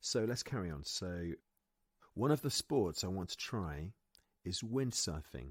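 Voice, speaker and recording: A man's very deep, low voice in a British accent, with very wide pitch swings and a fairly slow pace, in a dry, close sound with no echo. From Britain. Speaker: English pronunciation teacher. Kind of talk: pronunciation lesson to camera.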